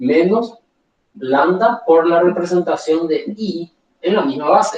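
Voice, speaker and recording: This man talks at a very slow pace in a high voice with ordinary pitch variation. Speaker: university lecturer. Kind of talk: lecture.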